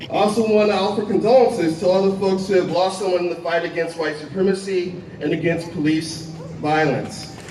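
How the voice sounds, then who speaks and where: A man speaks in a high pitch with fairly even intonation. The recording has noticeable background noise and audible room echo. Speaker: historian and activist organizer. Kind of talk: rally speech.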